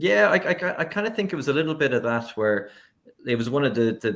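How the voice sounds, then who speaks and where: A man with an Irish accent speaks at a medium pitch and a fairly quick pace, his intonation lively. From Ireland. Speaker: sportswriter. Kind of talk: casual chat. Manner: halting.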